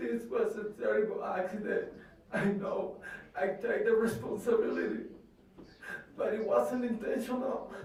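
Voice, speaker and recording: A man speaking at a fairly slow pace with long, frequent pauses, amid audible room echo and noticeable background noise. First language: Spanish. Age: 20s. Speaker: convicted truck driver. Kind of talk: courtroom statement. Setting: courtroom. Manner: halting.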